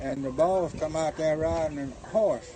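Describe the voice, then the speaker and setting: Over noticeable background noise, a man speaks with fairly high pitch and ordinary pitch variation. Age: 80s+. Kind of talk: interview answer.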